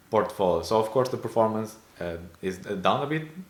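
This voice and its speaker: A man speaks at a fairly low pitch. Audible room echo and noticeable background noise come through. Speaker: personal finance YouTuber. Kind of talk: casual screen-share investing update. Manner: hesitant, many fillers.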